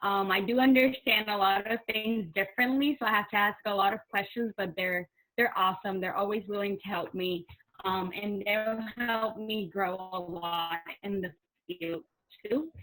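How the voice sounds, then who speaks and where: A woman with a Spanish accent, medium pitch, ordinary pitch variation and a moderate pace. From Puerto Rico. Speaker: college student. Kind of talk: casual introduction on video panel.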